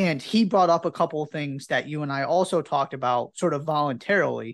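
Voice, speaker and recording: Against a quiet background, the speaker keeps a moderate pace. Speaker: podcast host, interviewer. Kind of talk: casual sports chat and interview.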